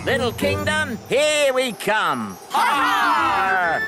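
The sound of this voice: A cartoonish character voice at a very slow pace over loud background noise.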